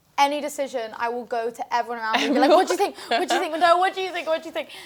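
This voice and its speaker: A loud woman with a British accent speaks very fast at a high pitch. Her intonation is lively. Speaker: singer-songwriter. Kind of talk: casual interview. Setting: studio. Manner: halting, many fillers.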